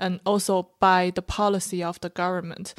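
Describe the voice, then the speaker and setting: In a Chinese accent, a woman talks at a moderate pace, the sound dry and close with no echo on a very clean recording with a silent background. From China. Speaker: stand-up comedian. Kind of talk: casual panel discussion.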